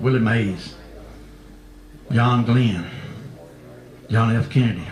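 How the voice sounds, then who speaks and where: There is noticeable background noise behind this man. He speaks at a medium pitch and a fairly slow pace. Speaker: cowboy poet. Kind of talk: storytelling introduction. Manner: folksy, humorous.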